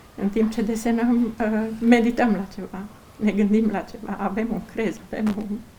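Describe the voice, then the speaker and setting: Over noticeable background noise, a woman speaks at a fairly slow pace. Her voice is fairly high with fairly even intonation. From Romania, Bihor county. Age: 50s. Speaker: folk artisan, egg decorator. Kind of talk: interview.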